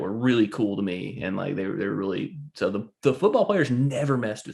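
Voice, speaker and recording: Lively in intonation, a man with a Southern US accent speaks at a medium pitch. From US South. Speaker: podcast co-host. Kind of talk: casual chat.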